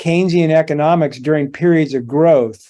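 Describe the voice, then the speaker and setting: This man has an ordinary speaking voice and a fairly high pitch. He talks at a moderate pace with fairly even intonation. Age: 60s. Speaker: precious metals analyst. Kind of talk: interview.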